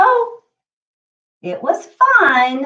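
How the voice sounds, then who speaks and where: A woman does a put-on character voice, squeaky and extremely high. Her pitch swings very widely. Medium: read story.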